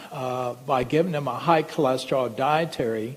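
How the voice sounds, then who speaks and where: Amid audible room echo, a man speaks at a fairly slow pace in a medium pitch with ordinary pitch variation. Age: 60s. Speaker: medical doctor. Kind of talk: lecture. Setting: stage with audience.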